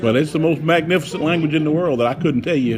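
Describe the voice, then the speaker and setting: There is noticeable background noise and audible room echo. Through it, a man speaks. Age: 60s. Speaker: son visiting mother. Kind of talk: casual chat.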